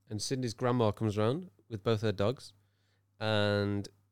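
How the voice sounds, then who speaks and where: In a Birmingham accent, a man speaks at a fairly low pitch with monotone, flat intonation. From Birmingham, England. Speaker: podcast co-host. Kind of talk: casual banter between co-hosts. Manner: joking, playful.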